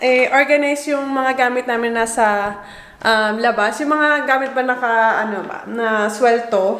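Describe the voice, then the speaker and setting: Over noticeable background noise and audible room echo, a woman speaks at a high pitch with ordinary pitch variation. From Philippines. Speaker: vlogger. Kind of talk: casual vlog narration. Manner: lowered voice.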